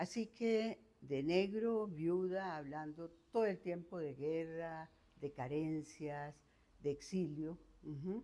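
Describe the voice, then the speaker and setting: Speaking at a very slow pace, a woman has a dark, mellow tone. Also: fairly low pitch for a woman, ordinary pitch variation. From Costa Rica, San José. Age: 70s. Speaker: retired professor. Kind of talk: life story interview.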